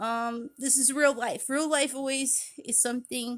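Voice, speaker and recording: The speaker is a woman. She talks at a high pitch. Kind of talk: personal vlog monologue. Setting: at home after shower. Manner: halting; pitch raised.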